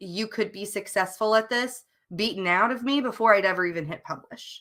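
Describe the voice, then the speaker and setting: In a Southern US accent, a woman speaks at a fairly quick pace with a bright, sharp tone, medium pitch and ordinary pitch variation. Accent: mild Southern twang. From US South. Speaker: novelist co-hosting writing sprints. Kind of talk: casual livestream chat. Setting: live stream.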